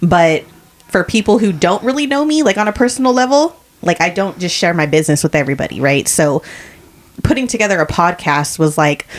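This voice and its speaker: Over noticeable background noise, a woman with a fairly low voice talks at a fairly quick pace, her loudness very even while her pitch swings very widely. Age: 40s. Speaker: podcast co-host. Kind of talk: casual chat.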